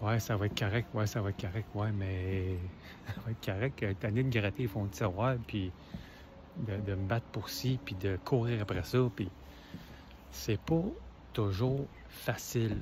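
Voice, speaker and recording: A man with a Quebec accent at a fairly slow pace, with long, frequent pauses. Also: fairly low pitch for a man, ordinary pitch variation. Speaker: motivational video creator. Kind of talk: casual motivational talk.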